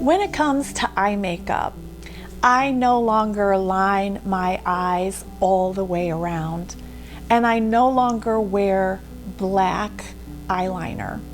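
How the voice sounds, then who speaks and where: A woman speaks very slowly at a medium pitch with ordinary pitch variation, while music plays in the background and audible room echo surrounds her. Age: 60s. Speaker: beauty vlogger. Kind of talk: tutorial. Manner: casual, conversational with fillers.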